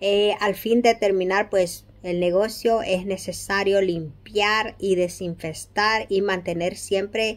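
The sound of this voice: With few pauses, a woman talks slowly at a medium pitch, her intonation fairly even.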